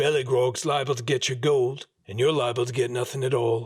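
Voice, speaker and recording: In a put-on character voice, a man talks fairly quickly at medium pitch, raspy and flat in a monotone. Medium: read story.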